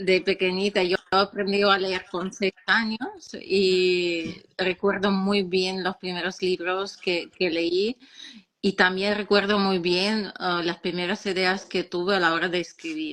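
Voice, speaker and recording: At a very slow pace, a woman with a Russian accent speaks at medium pitch in a monotone, flat intonation, with noticeable background noise. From Ukraine, Odessa. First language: Russian (speaking Spanish). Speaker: children's author and philologist. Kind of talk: interview. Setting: live stream.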